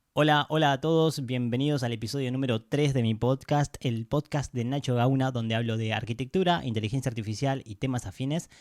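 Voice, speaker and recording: A man speaks at a medium pitch and a fairly quick pace with ordinary pitch variation and hardly any pauses, in a very clean, dry, close recording with a silent background and no echo. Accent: Argentine. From Argentina, Pinamar (Buenos Aires coast). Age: 30s. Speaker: podcast host, architect. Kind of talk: casual podcast monologue. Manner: hesitant, with fillers and repetitions.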